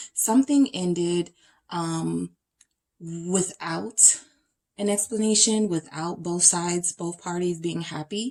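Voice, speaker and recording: A woman talks in an ordinary speaking voice at a fairly low pitch. She keeps a fairly slow pace with ordinary pitch variation. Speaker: tarot reader. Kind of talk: tarot reading to camera.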